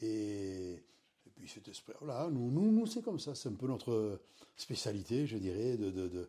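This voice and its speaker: A man with a Basque Country accent speaks at a medium pitch and fairly slow pace, his tone dark and mellow, with ordinary pitch variation. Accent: local Basque-country French. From French Basque Country. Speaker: beach bar owner, retired civil servant. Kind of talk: interview. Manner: halting.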